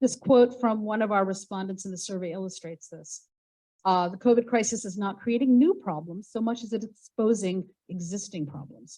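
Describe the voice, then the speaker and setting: With an American accent, a woman speaks at a moderate pace in a medium pitch, her dark, mellow tone somewhat breathy, with ordinary pitch variation and big swings in loudness. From United States. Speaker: university professor and researcher. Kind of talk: conference presentation.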